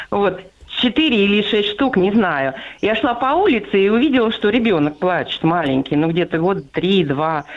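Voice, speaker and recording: At a moderate pace, a woman speaks in a medium pitch that moves through very wide swings. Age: 60s. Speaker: radio listener caller. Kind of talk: phone-in story. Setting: phone call.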